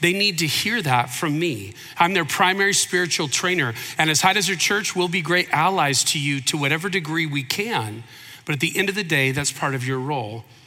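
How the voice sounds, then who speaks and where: There is audible room echo around a man speaking with an American accent. His pitch is fairly high, his intonation lively, and his pace fairly quick. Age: 50s. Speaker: pastor. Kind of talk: sermon. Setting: church.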